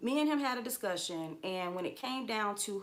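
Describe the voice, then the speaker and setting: Against noticeable background noise, a woman speaks at a medium pitch and moderate pace with lively intonation. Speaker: trucker and livestream host. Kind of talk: livestream monologue.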